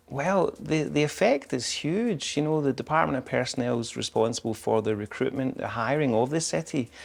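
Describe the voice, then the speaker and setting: A man with a Scottish accent, fairly high-pitched, fairly quick and lively in intonation. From Scotland. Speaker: public information officer. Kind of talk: interview. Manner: halting, many fillers.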